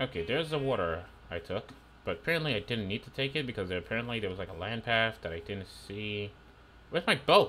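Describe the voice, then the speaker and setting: A man talks at a very fast pace, his tone bright and sharp. His intonation is lively over light background noise. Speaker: gaming streamer. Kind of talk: live gameplay commentary. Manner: animated. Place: home room. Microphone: headset.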